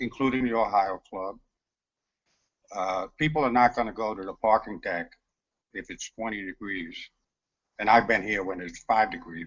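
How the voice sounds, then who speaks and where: A man with a New York accent speaks at a moderate pace and a fairly low pitch, with ordinary pitch variation. His loudness swings widely, and he leaves long, frequent pauses. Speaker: audience member. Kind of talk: audience question.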